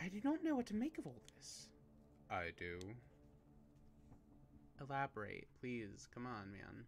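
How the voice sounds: The text is read in a natural way. The voice sounds unaffected throughout.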